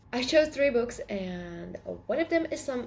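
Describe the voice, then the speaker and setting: Very wide pitch swings at a moderate pace in a Latvian accent, over noticeable background noise. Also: woman. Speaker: book vlogger. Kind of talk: casual chat.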